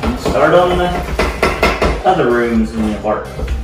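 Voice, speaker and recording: The voice moves at a very slow pace, with audible room echo and loud music in the background. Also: man. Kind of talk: casual vlog chat. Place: kitchen. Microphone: camera far.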